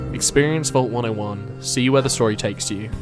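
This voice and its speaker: Lively intonation colors a man's medium-pitched voice as music plays in the background. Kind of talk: video essay narration.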